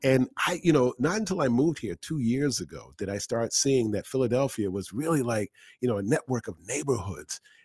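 An ordinary speaking voice moves at a fairly quick pace with lively intonation and hardly any pauses, the sound dry and close with no echo. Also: man, medium pitch for a man. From Boston. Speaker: podcast host. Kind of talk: casual interview chat.

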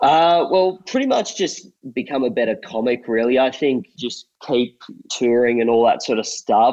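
This man has a medium pitch and speaks with an Australian accent. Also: ordinary pitch variation, moderate pace. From rural New South Wales, Australia. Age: 20s. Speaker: comedian. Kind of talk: interview.

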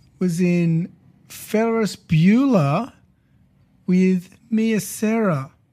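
An Australian accent from a man with a high pitch, a dark, mellow tone, ordinary pitch variation, a very slow pace and long, frequent pauses. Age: 30s. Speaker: podcast host. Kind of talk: casual chat.

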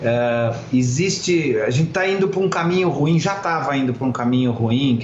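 A man with lively intonation, amid noticeable background noise and audible room echo. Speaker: former advertising executive. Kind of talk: interview.

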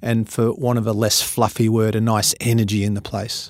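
On a very clean recording with a silent background, a man speaks in an Australian accent. His pitch is medium and his intonation fairly even. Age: 50s. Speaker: motivational speaker and business coach. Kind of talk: interview.

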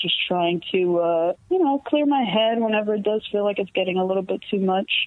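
Hardly pausing at all, a woman with an unremarkable speaking voice talks at medium pitch with ordinary pitch variation and very even loudness. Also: moderate pace. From New York City, the Bronx. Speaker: rock band vocalist. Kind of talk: casual interview. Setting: phone call.

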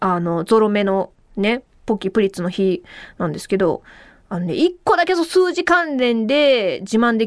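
An animated tone with very wide pitch swings comes at a moderate pace. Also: woman. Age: 30s. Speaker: radio host. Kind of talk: casual solo podcast talk. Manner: animated, frequent laughter.

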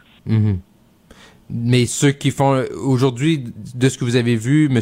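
Speaking at medium pitch, a man has a dark, mellow tone and fairly even intonation. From Saguenay–Lac-Saint-Jean, Quebec. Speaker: fill-in radio host. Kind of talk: talk radio interviews. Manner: hesitant with many fillers.

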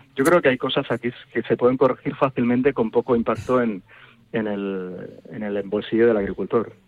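A man talks in a plain, everyday voice, pitched at a medium level with ordinary pitch variation. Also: moderate pace. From Toro, Zamora, Spain. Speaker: university researcher. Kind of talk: radio interview.

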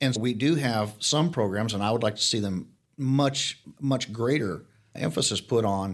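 Captured in a very clean recording with a silent background, a man has a plain, everyday voice, a medium pitch and ordinary pitch variation. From Arizona. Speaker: county sheriff. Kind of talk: interview conversation.

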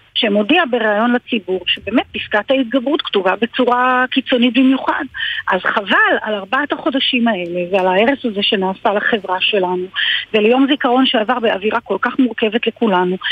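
Over noticeable background noise, a woman speaks at a fairly high pitch and moderate pace, with ordinary pitch variation and very even loudness. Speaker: politician. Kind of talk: radio interview.

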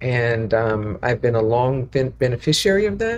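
This woman's voice is very deep and low, and she keeps to a fairly slow pace. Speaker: guest, family friend. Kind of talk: casual interview.

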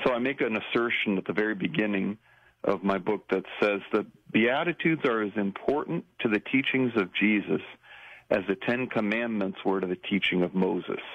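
A man speaks at a moderate pace with fairly low pitch and ordinary pitch variation. He has a plain, everyday voice, and his loudness stays very even. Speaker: priest and author. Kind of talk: interview, teaching about the Beatitudes.

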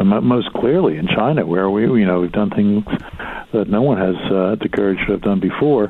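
Lively intonation marks this man's plain, everyday voice, fairly low in pitch, with an American accent. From Philadelphia. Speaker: author and business executive. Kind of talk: interview.

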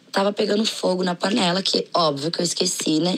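Against noticeable background noise, a woman at a medium pitch speaks at a moderate pace with ordinary pitch variation. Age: 20s. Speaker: podcast listener. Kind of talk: recorded personal story.

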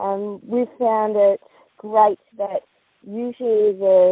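Ordinary pitch variation in a woman's voice, with an Australian accent. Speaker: post office licensee. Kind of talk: recorded interview. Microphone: crackly phone line.

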